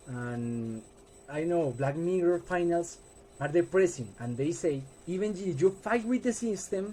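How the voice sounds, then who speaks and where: With a Colombian accent, the speaker has a dark, mellow tone, lively intonation and a fairly slow pace. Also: man, high pitch for a man. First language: Spanish. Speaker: student. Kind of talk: class presentation. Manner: halting.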